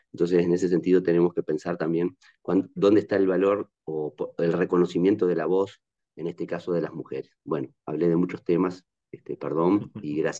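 Against a quiet background, a man with a very deep, low pitch speaks at a fairly quick pace in a dark, mellow tone with monotone, flat intonation. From Uruguay. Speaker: audience member asking question; audience member. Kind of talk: academic Q&A. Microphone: video call.

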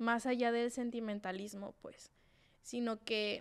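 With a Sinaloan accent, a woman with a fairly high pitch speaks fairly slowly in a flat monotone. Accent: Sinaloan Mexican Spanish. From Mexico, Sinaloa (Mazatlán). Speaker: podcast co-host. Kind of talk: casual chat. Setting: studio.

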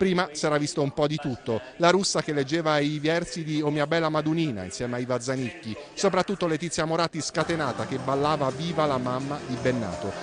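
Against noticeable background noise, a man with a fairly high pitch and ordinary pitch variation talks at a fairly quick pace with hardly any pauses. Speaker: news reporter. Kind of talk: TV news report narration.

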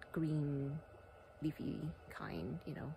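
A woman with a very deep, low voice sounds somewhat breathy, recorded dry with no echo over light background noise. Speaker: wellness vlogger. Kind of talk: casual vlog chat. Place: open country. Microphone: phone near.

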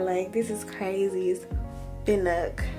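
With clear music in the background, a woman talks at a fairly slow pace. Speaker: expectant mother vlogger. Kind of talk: casual vlog chat. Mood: emotional, anticipating hospital birth. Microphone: phone near.

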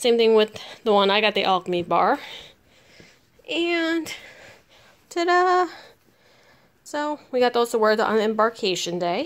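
A woman talks with very wide pitch swings and long, frequent pauses. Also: fairly high pitch for a woman, fairly slow pace. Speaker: travel vlogger. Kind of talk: casual vlog talk. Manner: subdued, not very enthusiastic. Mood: excited, cheerful. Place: home room. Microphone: phone near.

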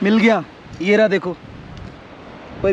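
At a fairly slow pace, someone speaks over light background noise in a dry sound with no echo. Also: man. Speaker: motorcycle travel vlogger. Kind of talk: casual vlog chat. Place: open country. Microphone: phone near.

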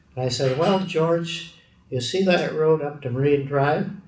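Somewhat breathy, a man talks at a fairly slow pace with ordinary pitch variation, with light background noise and audible room echo. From British Columbia, Canada. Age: 90s. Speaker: steel industry pioneer; interviewee. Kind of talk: oral history interview. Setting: recorded interview.

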